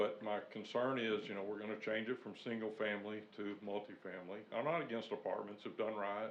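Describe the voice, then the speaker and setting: In a room with audible echo, a man with a fairly low pitch talks at a fairly quick pace. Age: 60s. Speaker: resident giving public comment. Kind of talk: public comment at city meeting. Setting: city planning commission meeting.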